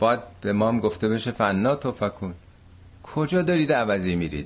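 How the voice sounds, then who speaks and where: A man with a plain, everyday voice talks at a moderate pace, pitched fairly low, with lively intonation. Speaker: Quran teacher. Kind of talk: lecture. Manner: conversational.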